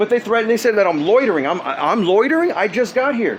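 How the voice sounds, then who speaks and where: A man with an extremely high pitch and lively intonation is heard over noticeable background noise. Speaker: person filming a dispute with officials. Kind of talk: heated argument. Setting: outdoors. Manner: fast; agitated.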